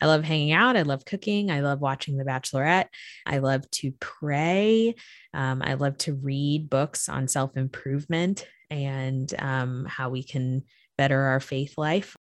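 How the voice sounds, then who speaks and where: Speaking at a fairly slow pace with an American accent, a woman with a very deep, low pitch and ordinary pitch variation comes through with a dry, close sound and no echo. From Florida. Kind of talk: casual interview. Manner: animated.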